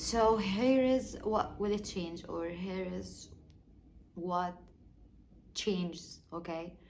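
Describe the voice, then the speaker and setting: With long, frequent pauses and a very slow pace, a woman speaks at a medium pitch with ordinary pitch variation amid audible room echo. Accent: non-native. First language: not English. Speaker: small YouTuber. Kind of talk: personal vlog monologue. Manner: halting, many fillers and repeats.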